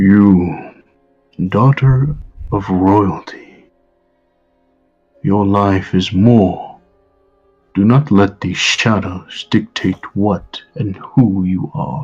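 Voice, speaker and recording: In a put-on character voice, a man booms at a fairly low pitch in a solemn tone, speaking at a very slow pace with long, frequent pauses as faint music plays in the background. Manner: booming, solemn.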